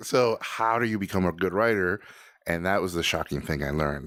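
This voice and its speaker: A man's very deep, low voice, animated in tone with lively intonation, at a fairly quick pace, in a dry, close sound with no echo on a very clean recording with a silent background. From Mexico, Tijuana. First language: Spanish. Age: 40s. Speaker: animator and director. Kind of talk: casual interview.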